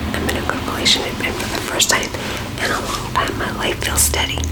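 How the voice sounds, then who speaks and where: A fairly quick whisper over noticeable background noise. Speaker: ASMR reader of online stories. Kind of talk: ASMR story reading. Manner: whispered.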